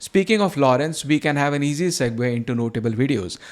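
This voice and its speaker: With a Marathi accent, a man with a fairly high pitch talks at a fairly quick pace and with lively intonation. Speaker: video channel host, antinatalism commentator. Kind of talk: scripted news roundup narration.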